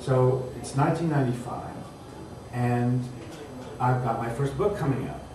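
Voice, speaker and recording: A man speaks at a very slow pace amid audible room echo and noticeable background noise. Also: ordinary pitch variation. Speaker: writer and teacher. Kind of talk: panel discussion. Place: hall. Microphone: camera far.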